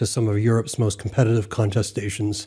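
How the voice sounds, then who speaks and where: Somewhat breathy with a dark, mellow tone, on a very clean recording against a silent background. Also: man. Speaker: podcast host, ham radio interviewer. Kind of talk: podcast introduction.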